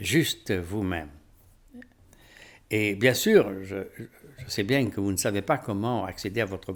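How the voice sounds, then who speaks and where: A man talks at a very slow pace on a very clean recording with a silent background. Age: 70s. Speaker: spiritual teacher. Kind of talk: rant to camera. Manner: animated.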